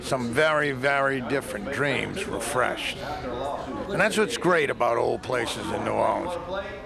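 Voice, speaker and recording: Over music in the background, a man with a fairly high voice speaks very slowly, his pitch varying in an ordinary way. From New Orleans. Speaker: TV journalist. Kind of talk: TV news feature narration.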